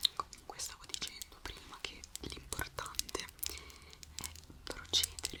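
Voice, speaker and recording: A woman whispers in a calm, gentle tone against noticeable background noise. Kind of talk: ASMR relaxation talk with advice to the viewer. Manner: soft-spoken, calm, gentle.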